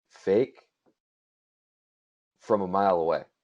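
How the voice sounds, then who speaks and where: At a very slow pace, a man speaks in an American accent. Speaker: country singer. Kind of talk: casual interview chat. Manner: casual, filler-heavy.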